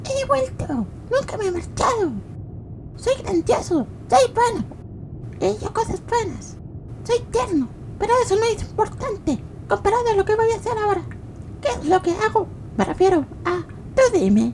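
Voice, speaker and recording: A put-on character voice at a moderate pace, with long, frequent pauses and clear background noise. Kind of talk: comedic parody dub. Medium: dub.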